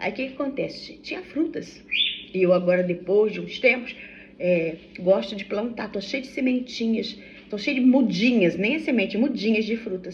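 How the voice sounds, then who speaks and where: Amid noticeable background noise and audible room echo, a woman with a fairly high pitch and lively intonation speaks at a moderate pace with big swings in loudness. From Brazil, Vassouras, Rio de Janeiro state. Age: 60s. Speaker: vlogger. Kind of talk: casual vlog chat. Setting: at home during breakfast. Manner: chatty, halting with self-corrections. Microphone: no microphone, phone recording.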